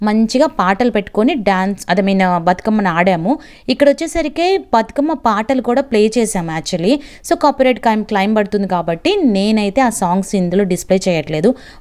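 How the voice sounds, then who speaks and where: A woman's fairly high voice with lively intonation and very even loudness. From Andhra Pradesh, near Telangana border. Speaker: vlogger. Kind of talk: casual vlog narration. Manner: animated.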